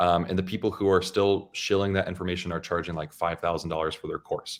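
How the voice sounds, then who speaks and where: A man speaks very fast in a very deep, low voice with monotone, flat intonation. The recording is very clean with a silent background. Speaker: loan officer and YouTube educator. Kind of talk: interview conversation. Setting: podcast interview. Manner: calm.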